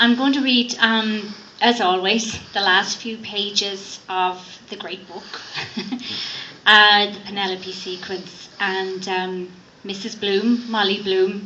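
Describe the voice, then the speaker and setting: Over noticeable background noise, a woman of medium pitch speaks at a very slow pace in a monotone, flat intonation, her loudness swinging widely. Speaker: actress. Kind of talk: spoken introduction to a live reading. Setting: bookstore event, live audience.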